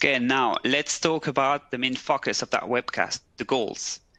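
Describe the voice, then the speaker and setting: A man's bright, sharp voice with a French accent, dry and close with no echo. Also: quiet background. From French-speaking Switzerland, Neuchâtel. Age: 30s. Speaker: recruiter. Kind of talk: webcast presentation. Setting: office. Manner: halting.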